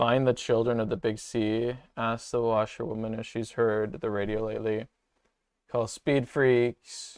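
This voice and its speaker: A man speaks at a medium pitch and a fairly slow pace. His intonation is flat and monotone over a quiet background. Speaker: streamer. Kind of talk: let's play commentary. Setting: livestream with webcam. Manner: casual, halting.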